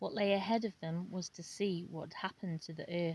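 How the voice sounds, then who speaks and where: A woman's fairly low, somewhat breathy voice moves at a moderate pace, its intonation fairly even. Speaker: amateur audiobook reader. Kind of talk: book reading. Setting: outdoors, home recording. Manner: unpolished, with pauses and mispronunciations.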